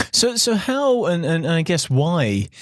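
A man with a British accent and lively intonation, in a very clean recording with a silent background. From England. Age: 30s. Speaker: podcast host. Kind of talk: interview conversation.

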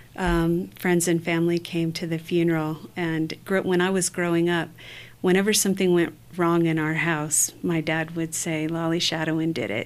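A woman speaks with an American accent in a normal speaking voice. Her pitch is fairly low, her intonation fairly even and her pace moderate. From northern Michigan, US. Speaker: cognitive neuroscientist and former professor. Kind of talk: interview conversation.

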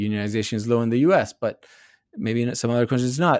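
Here is a man with a Spanish accent. His pitch sits in the medium range. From Argentina. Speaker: economics professor. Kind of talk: interview. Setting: video call.

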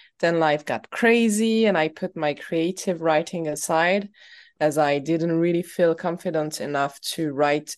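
A woman's very deep, low voice with a non-native accent, against a quiet background. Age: 30s. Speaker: writer and poet. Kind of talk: interview. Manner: halting.

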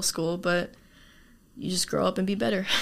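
An unremarkable speaking voice with a General American accent, on a very clean recording with a silent background. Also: woman. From Arizona, US. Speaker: university student. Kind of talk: casual interview.

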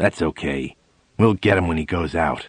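A man does a put-on character voice, pitched very deep and low, at a moderate pace. Hissing runs through his speech. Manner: hissing, menacing.

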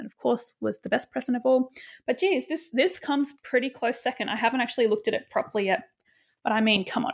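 A woman speaks in a normal speaking voice at a fairly quick pace. Pitch variation is ordinary, on a very clean recording with a silent background. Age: 30s. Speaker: podcast host and author. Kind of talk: casual solo monologue.

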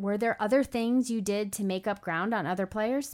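A woman's fairly high voice on a very clean recording with a silent background. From Long Island, New York. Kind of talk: interview, podcast intro.

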